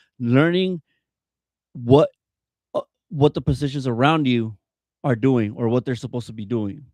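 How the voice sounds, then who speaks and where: The speaker goes at a moderate pace with long, frequent pauses and ordinary pitch variation. The sound is dry and close with no echo, over a quiet background. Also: man, medium pitch for a man. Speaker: youth soccer coach. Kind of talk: casual podcast interview. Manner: loud; halting, many fillers.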